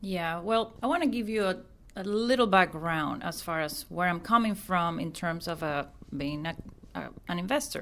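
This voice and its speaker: A woman with a Venezuelan accent speaks at a moderate pace in a fairly low pitch with lively intonation. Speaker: real estate investor. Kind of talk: casual chat.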